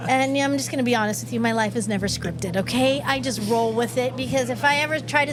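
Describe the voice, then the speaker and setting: Over music in the background, a woman with an American accent talks at a very fast pace, with hardly any pauses. Her tone is animated, and audible room echo surrounds her. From California, Mexican family. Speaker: radio show host. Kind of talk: live casual chat. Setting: outdoors on location.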